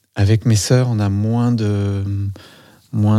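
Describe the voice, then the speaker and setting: Very slowly and in a monotone, flat intonation, a man talks with a fairly low pitch and a dark, mellow tone. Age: 40s. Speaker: dancer and body-psychotherapist. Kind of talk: casual chat. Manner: halting.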